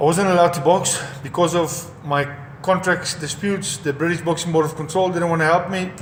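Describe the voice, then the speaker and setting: Someone with a South African accent speaks at a fairly quick pace in a monotone, flat intonation, with audible room echo and noticeable background noise. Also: man. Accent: South African (Afrikaans) English. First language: Afrikaans. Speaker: former professional boxer. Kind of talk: personal testimony. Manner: halting, with repetitions.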